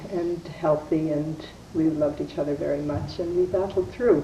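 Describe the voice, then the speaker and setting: A woman speaks at a moderate pace with fairly even intonation. Noticeable background noise can be heard. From Canada, Winnipeg, Manitoba. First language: Yiddish. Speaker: wife of Holocaust survivor. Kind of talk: testimony.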